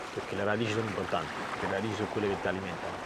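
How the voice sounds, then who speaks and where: Speaking at a fairly low pitch, a man is heard through audible room echo and noticeable background noise. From Naples, Italy. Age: 30s. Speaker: sailboat skipper. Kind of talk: documentary interview. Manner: reflective, with hesitations.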